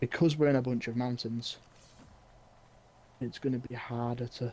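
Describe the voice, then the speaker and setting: The voice has a dark, mellow tone and monotone, flat intonation. It moves at a moderate pace. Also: man, medium pitch for a man. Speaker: gaming streamer. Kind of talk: live gameplay stream chat. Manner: halting, repetitive; whispering.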